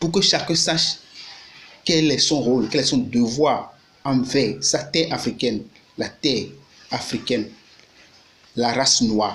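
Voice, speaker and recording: A man with a Beninese accent and fairly high pitch, ordinary pitch variation and a fairly slow pace, against noticeable background noise. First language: Fon (Gun) (speaking French). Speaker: YouTuber and activist. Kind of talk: video monologue. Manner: halting.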